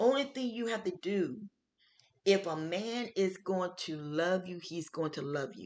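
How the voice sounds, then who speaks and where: A woman of medium pitch talks at a fairly slow pace. Her tone is animated and her intonation lively. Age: 60s. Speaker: health show host. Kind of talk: casual talk show monologue.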